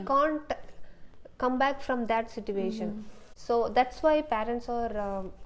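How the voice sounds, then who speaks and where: Speaking in an Indian accent with a fairly high pitch, a woman uses ordinary pitch variation and takes long, frequent pauses. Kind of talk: interview answer. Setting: apartment. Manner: strong leadership in her tone.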